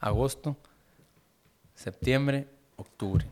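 A very slow pace in a northern Mexican accent. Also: man. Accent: northern Mexican (Sonora). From Sonora, Mexico (Caborca). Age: 20s. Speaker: musician. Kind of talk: casual chat.

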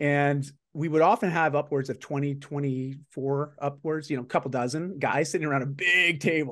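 A man with a plain, everyday voice, fairly high-pitched, at a moderate pace with hardly any pauses, fairly even intonation, and a quiet background. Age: 40s. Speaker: executive performance coach and author. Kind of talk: casual interview chat.

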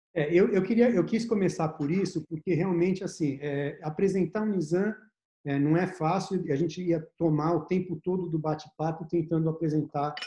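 Though his tone is dark and mellow, a man speaks at a high pitch and a moderate pace with fairly even intonation. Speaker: investment firm partner and host. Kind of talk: casual interview chat. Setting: video call.

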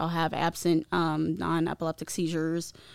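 At a moderate pace, a woman with a Midwestern US accent speaks at a fairly low pitch in a very clean recording with a silent background. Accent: US Midwest. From Ohio, US Midwest. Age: 20s. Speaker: guest sharing recovery story. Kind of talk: testimony.

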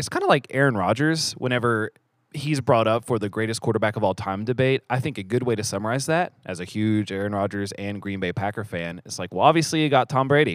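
A man speaks at a very fast pace with hardly any pauses, his medium pitch moving with ordinary variation. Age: 30s. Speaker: church elder and podcast host. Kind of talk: casual chat. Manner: fast talker; mumbles, trailing off sentences.

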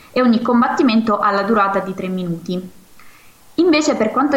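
A woman speaks at a fairly quick pace with a fairly high pitch. The room echo is audible. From Marcianise, Campania. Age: 20s. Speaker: karate athlete. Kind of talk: interview.

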